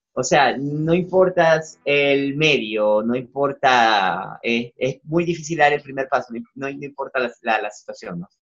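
This is an unremarkable speaking voice with ordinary pitch variation and hardly any pauses. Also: man, fairly high pitch for a man, fairly slow pace. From Venezuela, Zulia. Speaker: singer-songwriter. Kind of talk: interview.

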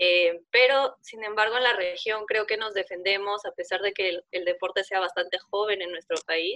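Bright, sharp tone from a woman with medium pitch and fairly even intonation, at a moderate pace with hardly any pauses, in a dry, close sound with no echo. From Peru. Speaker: competitive sport climber. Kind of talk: interview.

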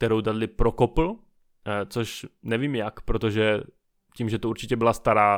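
An unforced reading voice with ordinary pitch variation, set against a quiet background

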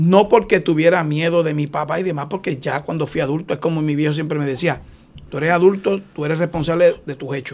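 Here a man talks at a fairly quick pace with a fairly high pitch. He has an unremarkable speaking voice. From Puerto Rico, Aguas Buenas. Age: 50s. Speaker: retired police officer. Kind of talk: interview.

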